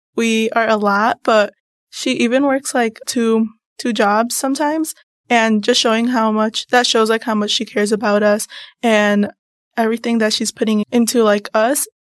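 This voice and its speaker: An ordinary speaking voice from a woman with an American accent, fairly high in pitch, with fairly even intonation, very even loudness and a moderate pace, on a very clean recording with a silent background and a dry, close sound with no echo. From northern Illinois, US. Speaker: university student. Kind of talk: podcast interview.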